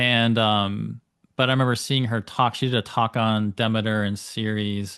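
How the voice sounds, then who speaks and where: With an American accent, a man speaks at a fairly slow pace in a fairly low pitch, his intonation fairly even. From United States. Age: 40s. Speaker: astrologer. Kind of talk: interview conversation. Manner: hesitant, many fillers.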